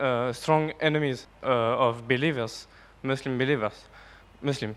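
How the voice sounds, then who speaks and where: This man speaks with a French accent. His intonation is monotone and flat. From France. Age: young. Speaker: audience member asking a question. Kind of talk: audience question. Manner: halting, many hesitations.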